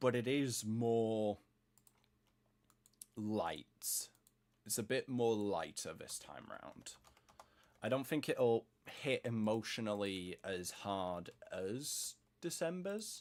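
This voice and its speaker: With a British accent, a man of medium pitch talks very slowly, leaving long, frequent pauses. His loudness swings widely. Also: lively intonation. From Britain. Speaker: gaming streamer. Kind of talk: casual chat. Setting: live stream.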